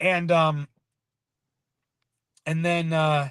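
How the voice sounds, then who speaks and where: Speaking loudly at a very slow pace, a man with a high pitch and a bright, sharp tone comes through dry and close with no echo over a quiet background. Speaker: local activist. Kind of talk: casual interview on livestream. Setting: live stream.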